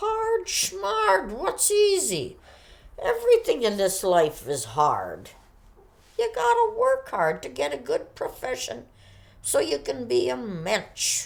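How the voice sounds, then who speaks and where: A woman performs a put-on character voice. She speaks at a fairly slow pace. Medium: short film. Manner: kvetching, Yiddish-peppered.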